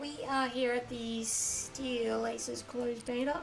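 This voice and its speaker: A woman with an Australian accent speaks at a fairly high pitch amid noticeable background noise and audible room echo. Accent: Australian, nasal. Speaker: gaming streamer. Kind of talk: live stream commentary. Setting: live stream. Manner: casual, chatty.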